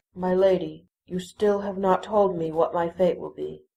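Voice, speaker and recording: A female-sounding voice in a put-on character voice speaks at a moderate pace with a middle pitch. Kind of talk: audio drama dialogue.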